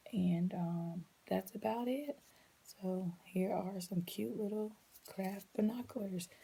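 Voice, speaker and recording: Soft-spoken and somewhat breathy, a woman talks at a very slow pace with a medium pitch, ordinary pitch variation and a dark, mellow tone. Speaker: preschool teacher. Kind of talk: tutorial. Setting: at home late at night.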